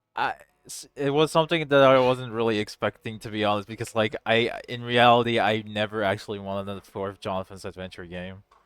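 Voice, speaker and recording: Hardly any pauses break up the man's fairly quick delivery. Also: medium pitch for a man, ordinary pitch variation, big swings in loudness. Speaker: game programmer and co-director. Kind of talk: casual developer commentary.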